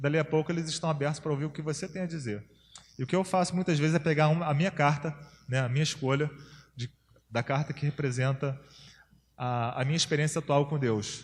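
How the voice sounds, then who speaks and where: A man with a fairly high pitch and a somewhat breathy voice talks at a fairly quick pace, broken by long, frequent pauses. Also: fairly even intonation. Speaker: campus missionary, workshop speaker. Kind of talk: workshop lecture. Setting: church workshop with audience. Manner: fast.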